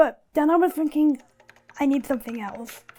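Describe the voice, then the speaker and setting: A woman with a West Country accent, moderate in pace, with ordinary pitch variation and music in the background. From southwest England, Bristol area. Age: 20s. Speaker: documentary subject. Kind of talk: personal testimony.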